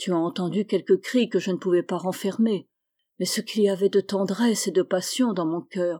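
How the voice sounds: A natural reading voice is heard, and the surroundings are quiet.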